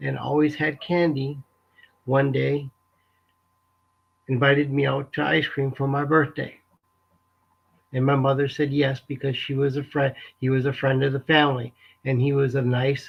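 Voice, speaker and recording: Somewhat breathy and fairly high-pitched, a man speaks at a moderate pace in a monotone, flat intonation with long, frequent pauses. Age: 60s. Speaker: abuse survivor sharing his story. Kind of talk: testimony. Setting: live webinar. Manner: halting, emotional.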